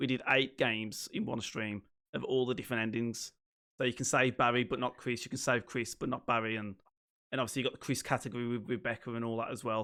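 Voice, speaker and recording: A man with a Liverpool accent talks at a very fast pace and medium pitch. The recording is very clean, with a silent background. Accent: Scouse (Liverpool). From northern England, Liverpool. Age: 30s. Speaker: streamer. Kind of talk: casual chat. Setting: live stream.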